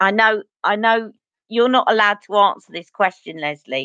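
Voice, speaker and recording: A voice with a Cockney accent has a bright, sharp tone at a moderate pace. The sound is dry and close, with no echo. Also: woman. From East London.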